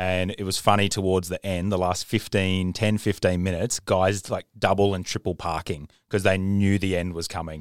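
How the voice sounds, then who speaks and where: In an Australian accent, a man speaks with a very deep, low pitch and monotone, flat intonation. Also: moderate pace, hardly any pauses, very clean recording, silent background. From Queensland, Australia. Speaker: podcast host. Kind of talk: casual chat. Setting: studio.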